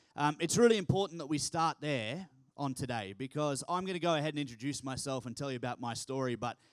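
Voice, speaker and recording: A man with an Australian accent talks at a very fast pace in an animated tone, his fairly high pitch showing ordinary pitch variation. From Australia, Townsville, north Queensland. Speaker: keynote speaker, youth organisation founder. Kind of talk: keynote speech. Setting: stage with audience.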